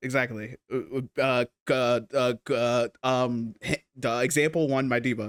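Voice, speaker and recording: A man's medium-pitched voice at a fairly slow pace, very even in loudness, dry and close with no echo. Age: 20s. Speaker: podcast co-host. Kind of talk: casual chat. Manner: animated, expressive.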